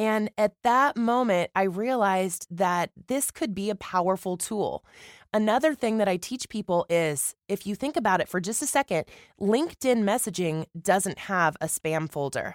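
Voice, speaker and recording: A woman with an American accent and an unremarkable speaking voice, medium in pitch and lively in intonation, at a moderate pace in a dry, close sound with no echo. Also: very clean recording, silent background. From Missouri. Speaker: voice actor and marketing teacher. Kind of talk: interview.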